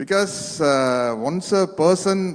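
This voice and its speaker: A man talks with ordinary pitch variation. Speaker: speaker at a book launch. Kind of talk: public speech. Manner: halting in English.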